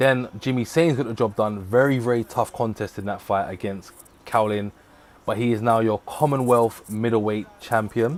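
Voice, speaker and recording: A man speaks at a moderate pace and medium pitch. His intonation stays fairly even. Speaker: boxing watchalong streamer. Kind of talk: live stream commentary and recap. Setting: live stream. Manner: stumbling at times.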